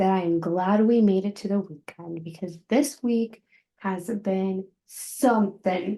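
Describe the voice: A quiet background under plain reading aloud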